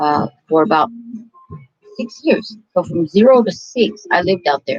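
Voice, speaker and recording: The talking proceeds at a moderate speed. Behind it, music can be heard. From California, with early childhood in Mexico. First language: Spanish. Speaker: vlogger telling life story. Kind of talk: casual personal storytelling.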